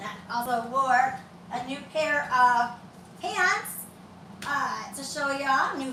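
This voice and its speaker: A woman with a Southern US accent uses a raised, projected voice at a high pitch and a very slow pace. Audible room echo and noticeable background noise fill the recording. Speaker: fitness instructor. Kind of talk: workout tutorial. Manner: loud.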